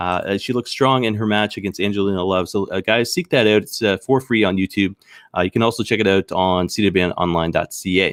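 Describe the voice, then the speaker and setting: Speaking very fast with a Canadian accent, a man uses a fairly low pitch and ordinary pitch variation. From Maritime Canada, Saint John, New Brunswick. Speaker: wrestling news show host. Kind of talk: solo live news show commentary. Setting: live stream. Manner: halting, many fillers.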